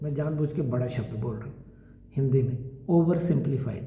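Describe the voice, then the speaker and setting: Room echo is audible as a man speaks with ordinary pitch variation. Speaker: Ayurvedic doctor. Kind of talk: lecture. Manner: conversational.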